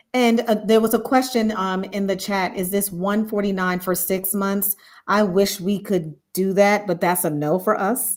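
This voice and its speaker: Using a normal speaking voice, a woman speaks at a medium pitch and moderate pace, with fairly even intonation and hardly any pauses. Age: 50s. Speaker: leadership coach. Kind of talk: live stream discussion. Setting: online live stream with chat.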